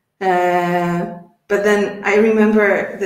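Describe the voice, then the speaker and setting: A woman speaks in a Polish accent with monotone, flat intonation. Audible room echo is present. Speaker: English teacher, webinar host. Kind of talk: casual chat.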